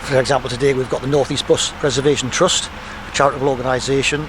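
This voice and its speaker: This man talks very fast at a medium pitch in a flat monotone. Background noise is noticeable. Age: 70s. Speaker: bus enthusiast and driver. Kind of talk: interview.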